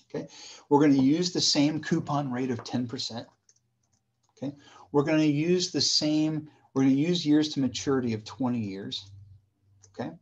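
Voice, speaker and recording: In a quiet background, a man with a fairly high voice and ordinary pitch variation speaks at a moderate pace, leaving long, frequent pauses. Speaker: university professor. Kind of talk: lecture. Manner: casual, conversational.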